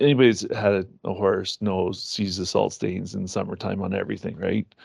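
A man with a Canadian accent talks at a moderate pace. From Ontario, Canada. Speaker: equine nutrition company owner. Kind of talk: podcast interview.

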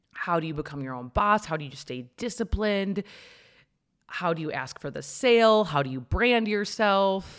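A woman's medium-pitched, animated voice at a moderate pace, with very wide pitch swings and big swings in loudness. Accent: American. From Minnesota, US Midwest. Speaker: entrepreneur and podcast host. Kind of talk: personal story monologue.

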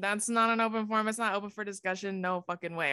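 A woman at a medium pitch and fairly quick pace, with ordinary pitch variation and an ordinary speaking voice, on a very clean recording with a silent background. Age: 20s. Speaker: social media content creator. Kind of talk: casual interview.

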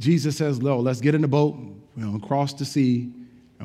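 A natural reading voice keeps its intonation fairly even from start to finish.

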